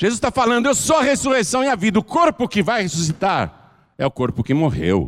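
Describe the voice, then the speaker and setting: A high-pitched man with an animated tone and very wide pitch swings, fairly quick with hardly any pauses, very even in loudness, dry and close with no echo. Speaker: pastor. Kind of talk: sermon.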